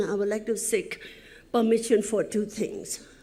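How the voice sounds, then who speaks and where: This woman's voice sits at a fairly high pitch. Audible room echo surrounds it. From Nepal, Helambu (Sindhupalchok). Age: 70s. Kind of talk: conference presentation. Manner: halting, with frequent fillers.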